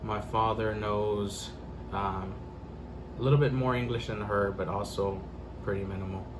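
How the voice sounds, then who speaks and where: Talking at a moderate pace with long, frequent pauses, a man with a fairly low voice keeps his intonation fairly even, with audible room echo and noticeable background noise. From Central Texas. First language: Spanish. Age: 20s. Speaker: interviewee. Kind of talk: interview. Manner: hesitant, many fillers.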